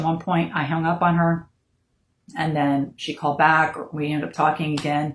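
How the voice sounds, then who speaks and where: Somewhat breathy and monotone with flat intonation, the voice moves at a fairly quick pace with an American accent. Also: woman. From Florida. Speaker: bereaved mother sharing her story. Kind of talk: personal testimony. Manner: unrehearsed, with many fillers.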